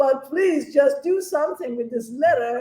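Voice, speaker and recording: A woman talks with lively intonation. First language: not English. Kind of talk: panel discussion.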